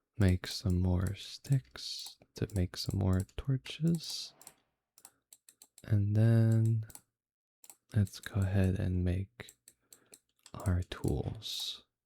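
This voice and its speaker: A man's calm, dark, mellow voice at a fairly low pitch, somewhat breathy, with ordinary pitch variation, a very slow pace, long, frequent pauses, and a dry, close sound with no echo. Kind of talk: relaxing gameplay commentary. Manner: calm, unhurried.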